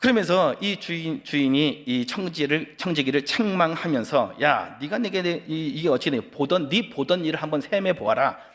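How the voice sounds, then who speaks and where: A man's fairly high-pitched voice with lively intonation and hardly any pauses. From Chungcheong region, South Korea. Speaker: pastor. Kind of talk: sermon. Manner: fast; animated.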